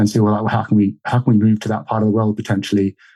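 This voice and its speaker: A dark, mellow tone with a slight Australian accent. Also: man. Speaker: market gardener. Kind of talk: interview. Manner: halting, many fillers.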